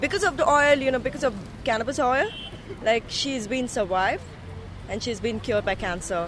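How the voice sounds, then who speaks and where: Against noticeable background noise, a woman talks fairly quickly in a high voice with lively intonation, leaving long, frequent pauses. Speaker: caregiver. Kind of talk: testimony. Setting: outdoors.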